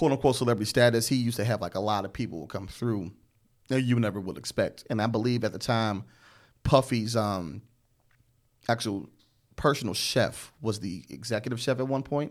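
Speaking fairly quickly at a medium pitch with ordinary pitch variation, a man leaves long, frequent pauses in a very clean recording with a silent background. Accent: American. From Chicago South Side.

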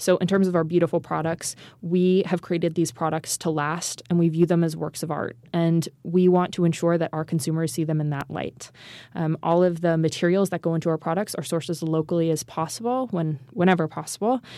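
A woman's fairly low voice, an ordinary speaking voice, at a fairly quick pace with fairly even intonation. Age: 20s. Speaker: founder and CEO of an ethical goods company. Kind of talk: interview conversation. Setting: studio.

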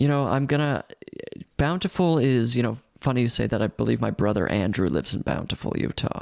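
With an ordinary speaking voice, a man talks at a fairly quick pace and medium pitch, his intonation lively and his loudness very even. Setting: video call.

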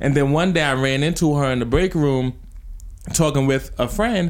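A man speaks with a New Jersey accent at a fairly quick pace. His voice is fairly high, with ordinary pitch variation. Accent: New Jersey American English. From US Northeast, New Jersey. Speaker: podcast host. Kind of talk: casual chat.

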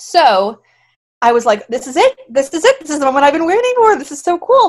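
In a very clean recording with a silent background, a woman with an American accent speaks in an animated tone at a fairly quick pace. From Florida. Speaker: musical theater actress. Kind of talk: interview.

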